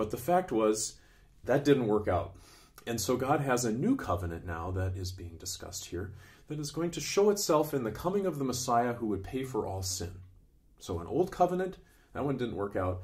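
A man's somewhat breathy voice moves through very wide pitch swings. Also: moderate pace. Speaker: Bible teacher. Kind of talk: Bible teaching talk. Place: home room.

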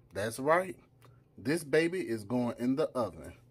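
The male speaker's pace is fairly slow. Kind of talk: cooking tutorial. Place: kitchen. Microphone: phone near.

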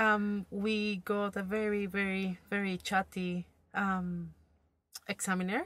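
Speaking at a very slow pace, a woman with an Argentine accent uses monotone, flat intonation in a dry sound with no echo. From Buenos Aires, Argentina. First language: Spanish. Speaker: driving student. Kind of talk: testimony. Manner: halting. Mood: relaxed, amused. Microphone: phone near.

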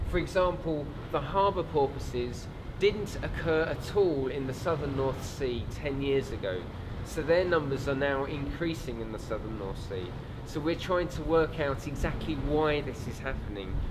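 Noticeable background noise sits under the voice. A man talks at a moderate speed. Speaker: wildlife survey guide. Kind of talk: interview answer. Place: boat.

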